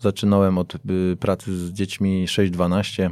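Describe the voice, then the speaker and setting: A man talks in a very deep, low voice, dark and mellow in tone, with monotone, flat intonation. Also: very clean recording, silent background. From Poland, Piaseczno near Warsaw. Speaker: football coach. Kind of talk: interview.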